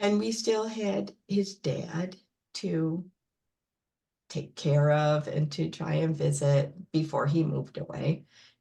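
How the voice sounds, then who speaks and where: Very slow and broken by long, frequent pauses, the voice has a dark, mellow tone, a somewhat breathy quality and lively intonation. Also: woman, very deep, low pitch for a woman. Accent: American. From upstate New York. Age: 60s. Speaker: librarian. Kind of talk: personal interview. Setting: video call.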